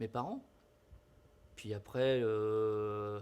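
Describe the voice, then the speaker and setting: A man's voice at medium pitch. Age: 50s. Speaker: teacher. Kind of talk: interview.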